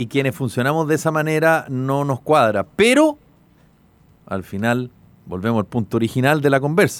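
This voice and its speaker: A man with a Chilean accent, fairly high in pitch, at a moderate pace with ordinary pitch variation, in a dry, close sound with no echo. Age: 50s. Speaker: radio host. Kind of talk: casual chat.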